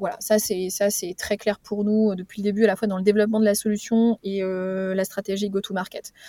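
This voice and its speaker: A woman at medium pitch with monotone, flat intonation and hardly any pauses, in a very clean recording with a silent background and a dry, close sound with no echo. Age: 40s. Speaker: startup executive. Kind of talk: interview. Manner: halting, many hesitations.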